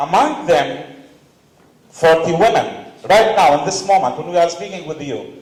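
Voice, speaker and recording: A man with a Palestinian accent and a high pitch, ordinary pitch variation, a fairly slow pace, big swings in loudness and noticeable background noise. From Palestine, West Bank refugee camp. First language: Arabic. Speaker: panelist, activist. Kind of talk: conference panel talk.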